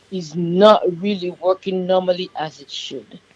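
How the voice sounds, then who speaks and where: A woman with a Yoruba accent at a fairly slow pace. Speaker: diabetes nurse practitioner. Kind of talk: radio interview.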